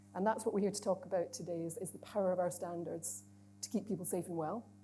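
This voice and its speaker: Quick-paced and lively in intonation, a woman speaks in a fairly low, dark, mellow voice with vocal fry. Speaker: chief executive giving opening address. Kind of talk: conference opening speech. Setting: stage with audience. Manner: conversational, informal asides.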